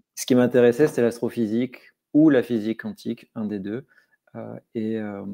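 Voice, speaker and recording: A man speaks at a moderate pace in a medium pitch with a dark, mellow tone, fairly even intonation and big swings in loudness, in a dry, close sound with no echo. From Corsica (Bastia), France. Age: 40s. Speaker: crypto security consultant. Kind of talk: podcast interview. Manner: hesitant, many fillers and repetitions.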